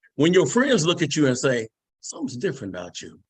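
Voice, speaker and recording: Pitched fairly high, a man speaks in an animated tone with very wide pitch swings and vocal fry. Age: 60s. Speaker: network marketing distributor giving testimonial. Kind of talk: product testimony on video call.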